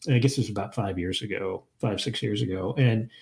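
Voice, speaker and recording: A man rushes along at a very fast pace, somewhat breathy, with ordinary pitch variation. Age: 60s. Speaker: historian, professor and hiking podcast host. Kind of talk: casual interview chat. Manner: halting, many fillers and restarts.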